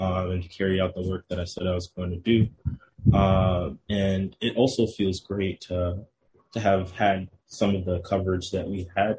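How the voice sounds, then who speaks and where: A man with an American accent speaks at a fairly slow pace in a very deep, low pitch, somewhat breathy and with monotone, flat intonation. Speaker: town councilman. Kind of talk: radio interview.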